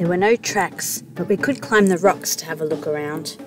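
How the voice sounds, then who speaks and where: Music plays in the background as a woman speaks at a moderate pace with lively intonation. Her voice is fairly low, and the sound is dry with no echo. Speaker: sailing vlog narrator. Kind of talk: travel vlog narration.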